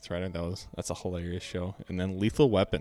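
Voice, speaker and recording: With an Upper Midwest accent, a man speaks in a very deep, low pitch. His intonation is fairly even. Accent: Upper Midwest American. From Minnesota. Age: 20s. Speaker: podcast co-host. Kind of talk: casual chat.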